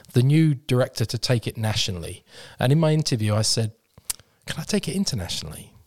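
Speaking very fast with a British accent, a man uses lively intonation at a medium pitch. His voice is somewhat breathy, and the sound is dry and close with no echo. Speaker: mental health organization leader. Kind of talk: interview conversation. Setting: studio.

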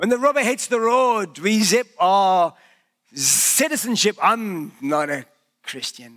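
A man with a raised, projected voice and a bright, sharp tone speaks fairly slowly at a high pitch, swinging very widely in pitch. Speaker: pastor. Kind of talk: sermon. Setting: church.

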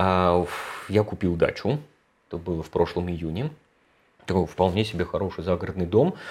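A man with a very deep, low pitch talks at a moderate pace with ordinary pitch variation and long, frequent pauses. The recording is very clean with a silent background. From Moscow, Russia. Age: 40s. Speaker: productivity trainer, ex-software developer. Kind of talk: casual interview chat.

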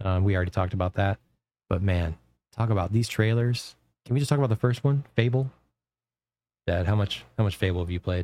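Over a very clean recording with a silent background, a man talks at a very fast pace yet with long, frequent pauses. His dark, mellow tone sits fairly low in pitch with ordinary variation, and the sound is dry and close with no echo. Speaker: podcast host. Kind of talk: casual chat. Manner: animated.

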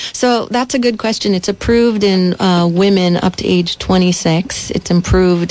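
A woman talks at a fairly slow pace with noticeable background noise around her. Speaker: physician. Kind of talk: radio interview.

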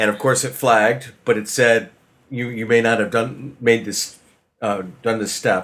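A man talks fairly slowly in an ordinary speaking voice. His pitch sits in the medium range, with fairly even intonation. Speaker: guest co-host of a gaming podcast. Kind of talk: casual chat.

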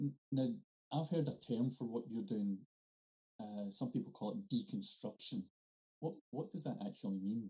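With a Scottish accent, a man speaks in a dark, mellow, somewhat breathy tone, his pitch swinging very widely between long, frequent pauses. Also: medium pitch for a man, moderate pace. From Scotland. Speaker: podcast host. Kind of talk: casual interview chat.

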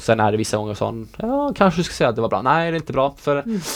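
A plain, everyday voice from a man at a fairly quick pace, with ordinary pitch variation. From Sweden. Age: 20s. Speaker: professional dancer. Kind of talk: interview.

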